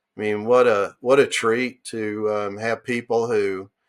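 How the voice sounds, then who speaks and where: At a fairly slow pace, a man of medium pitch speaks with an American accent in a very clean recording with a silent background. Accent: Southern country accent, comes out at times. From US South, western North Carolina mountains. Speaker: entrepreneur and medical device engineer. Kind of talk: casual interview chat. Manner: animated.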